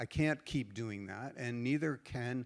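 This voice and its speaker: A man with a normal speaking voice, a medium pitch, ordinary pitch variation and an American accent, on a very clean recording with a silent background. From United States. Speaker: standards organization leader. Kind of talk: panel discussion.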